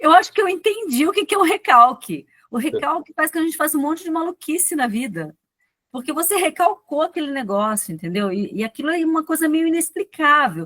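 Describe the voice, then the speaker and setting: In a dry, close recording with no echo, a woman speaks at a fairly quick pace in an extremely high, bright, sharp voice with very wide pitch swings. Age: 50s. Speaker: physician and speaker. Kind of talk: talk at online poets' meeting.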